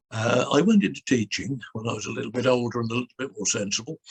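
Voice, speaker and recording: With a British accent, a man speaks at a medium pitch with ordinary pitch variation, somewhat breathy, in a dry, close sound with no echo. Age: 80s+. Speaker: clergyman and former TV presenter. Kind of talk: interview answer. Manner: lively, animated storytelling.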